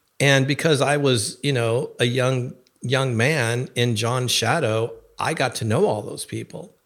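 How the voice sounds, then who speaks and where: This man has a normal speaking voice at a medium pitch with ordinary pitch variation. He talks at a fairly slow pace in a very clean recording with a silent background. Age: 60s. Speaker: bishop. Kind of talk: casual chat.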